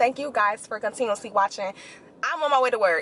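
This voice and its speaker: A woman's high-pitched, animated delivery comes through noticeable background noise. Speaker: nurse and beauty/lifestyle vlogger. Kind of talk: casual vlog monologue. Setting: in a car on the way to work.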